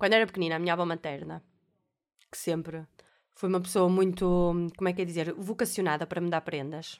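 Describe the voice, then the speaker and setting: A woman's fairly low voice at a fairly quick pace, recorded very cleanly over a silent background. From Portugal, Alfena (Porto area). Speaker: podcast host. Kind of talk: casual monologue. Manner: animated.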